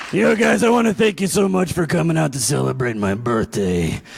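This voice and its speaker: A man puts on a raspy character voice at medium pitch, talking at a fairly quick pace with very wide swings in pitch. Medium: stage play. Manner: bumbling.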